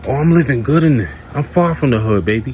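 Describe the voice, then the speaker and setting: Quiet and animated, a man talks at a fairly quick pace with very wide pitch swings over noticeable background noise. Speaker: vlogger, trucker. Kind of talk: casual vlog rant. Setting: outdoors in backyard by pool. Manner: quiet, low volume; animated, emphatic.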